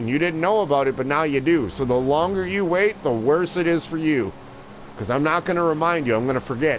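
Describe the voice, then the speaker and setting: Very fast and animated, a man speaks at a fairly high pitch with ordinary pitch variation. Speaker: video game live streamer. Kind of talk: casual livestream chat. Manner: loud, sounds like yelling.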